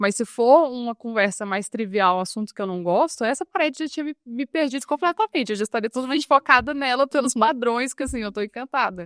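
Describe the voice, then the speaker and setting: A woman talks fairly quickly in a high voice with lively intonation and hardly any pauses. The recording is very clean, with a silent background and a dry, close sound with no echo. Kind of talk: casual interview chat. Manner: fast.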